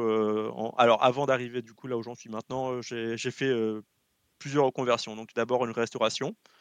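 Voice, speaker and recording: With a quiet background and a dry, close sound with no echo, a man speaks in a monotone, flat intonation. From French Guiana. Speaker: video game company logistics specialist. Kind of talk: casual chat.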